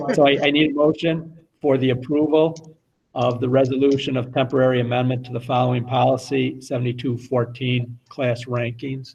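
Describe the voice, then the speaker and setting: The delivery is monotone, with flat intonation and a moderate pace. The voice sounds somewhat breathy. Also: man, medium pitch for a man. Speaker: school board president. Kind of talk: meeting chairing. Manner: soft-spoken.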